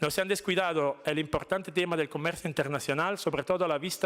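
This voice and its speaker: A man talks very fast in an Italian accent. His pitch is fairly high, with ordinary variation. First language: Italian (speaking Spanish). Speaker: diplomat. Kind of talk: formal speech. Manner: formal.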